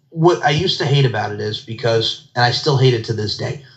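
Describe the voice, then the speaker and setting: Over noticeable background noise, a man speaks fairly quickly at medium pitch with ordinary pitch variation. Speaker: podcast host. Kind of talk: casual interview chat.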